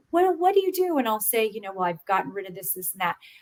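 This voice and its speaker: Fairly high in pitch, a woman speaks in an ordinary speaking voice with lively intonation. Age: 50s. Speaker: podcast guest sharing health story. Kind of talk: casual interview chat.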